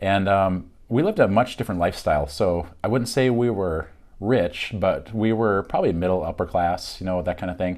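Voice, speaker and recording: A man with a Minnesota accent, fairly low-pitched with ordinary pitch variation, at a moderate pace, on a very clean recording with a silent background. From Minnesota, Fargo-Moorhead area, partly Michigan. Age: 40s. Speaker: realtor and YouTuber. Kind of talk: casual self-introduction monologue. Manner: casual, frequent fillers.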